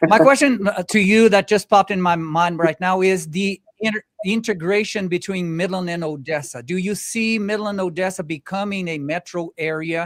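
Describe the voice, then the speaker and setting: Pacing is moderate with hardly any pauses and ordinary pitch variation. The sound is dry and close, with no echo. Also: man, high pitch for a man. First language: not English. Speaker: podcast host. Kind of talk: interview.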